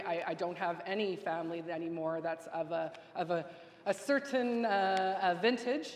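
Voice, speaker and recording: A woman speaks. Noticeable background noise sits behind her. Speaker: legislator. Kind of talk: farewell speech. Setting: legislative chamber. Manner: fast.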